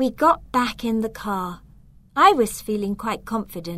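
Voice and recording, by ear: The speaker is reading aloud in a natural voice. Pitch variation is ordinary.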